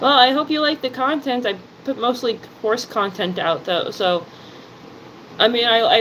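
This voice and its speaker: Over noticeable background noise, a woman talks in a high pitch with an American accent. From New Jersey, US. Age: 30s. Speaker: live streamer. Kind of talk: casual live stream chat.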